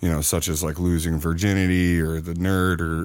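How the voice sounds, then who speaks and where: Heard in a very clean recording with a silent background, a man with a very deep, low pitch talks at a moderate pace. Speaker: horror filmmaker. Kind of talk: casual interview. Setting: studio.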